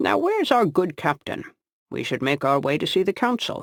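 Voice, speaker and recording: A man's put-on character voice, high-pitched and at a moderate pace, in a very clean recording with a silent background and dry, close sound with no echo. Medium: read story. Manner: upbeat, earnest.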